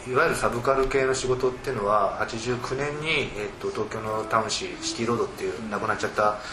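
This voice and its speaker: A man at a medium pitch, very fast with hardly any pauses, fairly even intonation, audible room echo and noticeable background noise. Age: 40s. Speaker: literary critic. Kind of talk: panel discussion.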